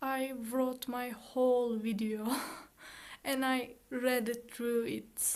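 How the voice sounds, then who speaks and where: With a non-native accent, a woman speaks at a very slow pace in a high pitch and monotone, flat intonation, with audible room echo. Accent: foreign accent in English. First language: Turkish. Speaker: student YouTuber. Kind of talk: casual chat; reading aloud. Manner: halting; monotone, robotic.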